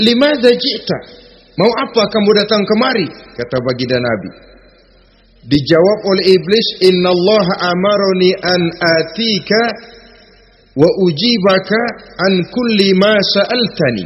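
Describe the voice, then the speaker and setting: With a Jakarta accent, a man talks at a fairly slow pace in a high pitch, using lively intonation and long, frequent pauses over noticeable background noise. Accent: Betawi (Jakarta) dialect. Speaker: Islamic preacher. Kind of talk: religious sermon. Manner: firm, well-paced oratory with humour.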